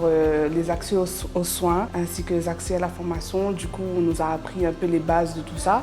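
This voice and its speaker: A woman's fairly low voice at a moderate pace with fairly even intonation, music in the background. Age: 20s. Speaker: trainee. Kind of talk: interview testimony. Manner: hesitant.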